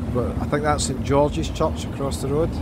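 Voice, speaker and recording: The voice moves at a moderate pace, with a dry sound with no echo and noticeable background noise. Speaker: walking tour vlogger. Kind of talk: casual tour commentary. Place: street. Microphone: phone near.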